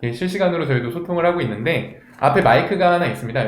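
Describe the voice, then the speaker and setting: A man with lively intonation, amid noticeable background noise and audible room echo. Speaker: event host. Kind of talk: live online event hosting.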